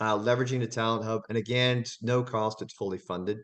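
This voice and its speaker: At a very fast pace, a man talks. His pitch sits in the medium range. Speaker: workforce development director. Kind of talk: webinar presentation.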